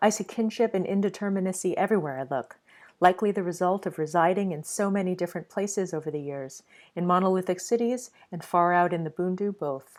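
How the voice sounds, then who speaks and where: Speaking very fast, a woman talks at a medium pitch. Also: ordinary pitch variation, very clean recording, silent background. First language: Mandarin. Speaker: artist. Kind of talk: reading aloud.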